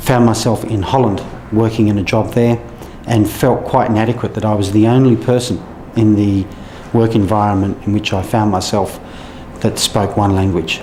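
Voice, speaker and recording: A man with an Australian accent, fairly low-pitched and fairly even in intonation, at a moderate pace, with audible room echo and music in the background. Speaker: trade official. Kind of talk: interview.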